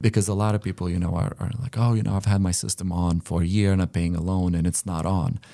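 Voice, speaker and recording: A man with a very deep, low pitch and a dark, mellow tone talks at a very fast pace with hardly any pauses and ordinary pitch variation. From Lithuania. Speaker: solar company co-owner. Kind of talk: casual interview. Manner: halting, fillers.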